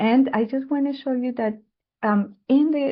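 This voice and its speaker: A woman speaks in a somewhat breathy voice. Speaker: public health adviser. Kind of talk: webinar presentation. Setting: online webinar.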